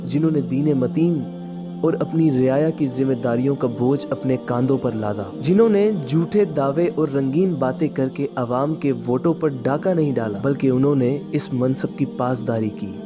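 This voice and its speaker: Music in the background behind a man with a fairly high pitch and lively intonation. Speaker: voice-over artist. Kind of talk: documentary narration. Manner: earnest, impassioned.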